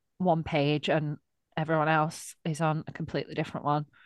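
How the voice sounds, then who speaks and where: A woman with a Lancashire accent speaks at a fairly slow pace in a very deep, low voice. The background is quiet and the sound dry and close with no echo. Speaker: podcast co-host. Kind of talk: casual chat.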